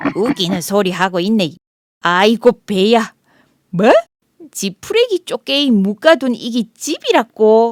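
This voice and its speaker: A female-sounding voice puts on a character voice at a fairly high pitch, broken by long, frequent pauses. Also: fairly slow pace. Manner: mocking, laughing.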